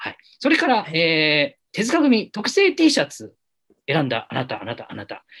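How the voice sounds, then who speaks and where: Big swings in loudness mark a man's animated, playful tone as he talks at a moderate pace. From Japan, Yamanashi (Minami-Alps). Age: 30s. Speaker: film director and podcast host. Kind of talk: casual chat, live-streamed talk show. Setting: live stream.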